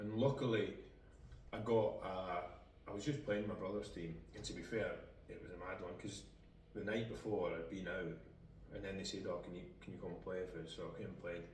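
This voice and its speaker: With a Scottish accent, a man talks at a fairly quick pace broken by long, frequent pauses, and room echo is audible. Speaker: footballer. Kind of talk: casual chat.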